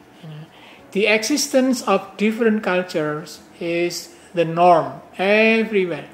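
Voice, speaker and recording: A man's high-pitched voice, with ordinary pitch variation, unfolds at a fairly slow pace. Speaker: professor. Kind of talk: lecture. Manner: halting.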